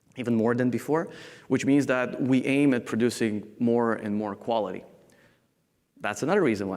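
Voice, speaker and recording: Long, frequent pauses mark this man's medium-pitched speech, which has ordinary pitch variation and big swings in loudness. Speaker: software architect. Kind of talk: conference talk.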